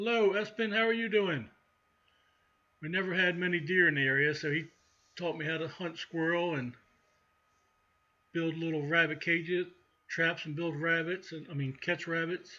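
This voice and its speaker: A man with a Baltimore accent, high in pitch with a bright, sharp tone, at a moderate pace with ordinary pitch variation and long, frequent pauses. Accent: Baltimore-area Mid-Atlantic US. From central Maryland, near Baltimore. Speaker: outdoors channel host. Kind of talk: live stream chat with viewers. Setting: live stream. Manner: casual, conversational.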